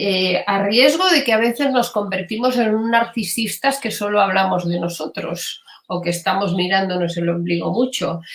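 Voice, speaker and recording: A woman at a medium pitch, moderate pace and hardly any pauses, with noticeable background noise. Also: ordinary pitch variation. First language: Catalan (speaking Spanish). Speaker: gestalt psychotherapist. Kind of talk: interview. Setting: live stream. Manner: hesitant, many fillers.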